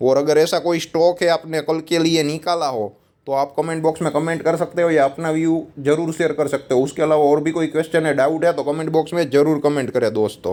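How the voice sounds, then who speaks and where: With a Gujarati accent, a man speaks at a fairly high pitch in a dark, mellow tone, keeping a moderate pace, fairly even intonation and hardly any pauses. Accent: Gujarati accent in Hindi. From Gujarat, India. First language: Gujarati (speaking Hindi). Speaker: stock market analyst. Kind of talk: market analysis video. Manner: casual, conversational.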